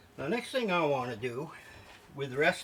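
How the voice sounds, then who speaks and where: This man talks at a fairly quick pace with an American accent, his pitch in the medium range. Noticeable background noise runs underneath. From New York. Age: 70s. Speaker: home cooking video host. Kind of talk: cooking tutorial. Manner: casual, chatty.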